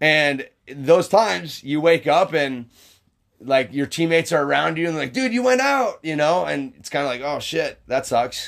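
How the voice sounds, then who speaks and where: A loud man's voice, fairly high in pitch with lively intonation, at a moderate pace in a very clean recording with a silent background. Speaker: podcast co-host. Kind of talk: casual chat.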